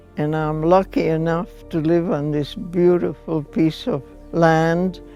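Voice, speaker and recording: Speech at a very slow pace plays over music in the background. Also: woman. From Hungary. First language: Hungarian. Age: 90s. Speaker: Holocaust survivor. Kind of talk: testimony.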